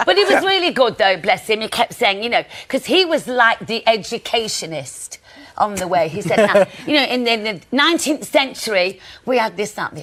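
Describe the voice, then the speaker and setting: Over noticeable background noise, a woman with a Nottingham accent talks at a fairly quick pace in a fairly high, animated voice. Her pitch swings very widely and her loudness shifts in big swings. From Nottingham, England. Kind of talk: TV chat show interview answer. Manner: chatty, animated.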